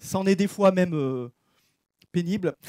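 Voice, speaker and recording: Loud and high-pitched, a man's voice carries a dark, mellow tone in a dry, close recording with no echo. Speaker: preacher. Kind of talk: sermon. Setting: church. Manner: casual.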